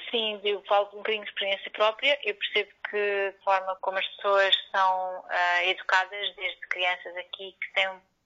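A woman at a moderate pace, in a monotone with flat intonation. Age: 30s. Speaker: architect. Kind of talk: interview.

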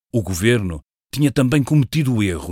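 With lively intonation and a fairly quick pace, a man talks in a fairly low pitch on a very clean recording with a silent background and a dry, close sound with no echo. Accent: European Portuguese. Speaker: podcast writer and narrator. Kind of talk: scripted narration. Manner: formal.

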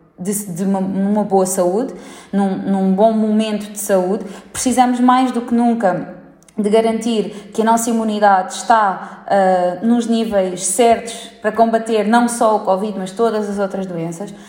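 A woman at medium pitch and a fairly slow pace, fairly even intonation, noticeable background noise and audible room echo. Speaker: gym founder. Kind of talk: interview.

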